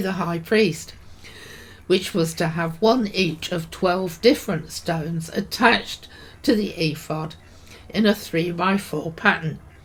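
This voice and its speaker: Somewhat breathy, a woman with a British accent speaks at a fairly slow pace with ordinary pitch variation. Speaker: podcaster, Bible teacher. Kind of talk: devotional talk.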